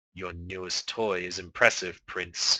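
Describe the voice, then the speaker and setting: Against a quiet background, a man does a put-on character voice, very deep and low, fairly slow and flat in a monotone. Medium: read story. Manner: monotone, robotic.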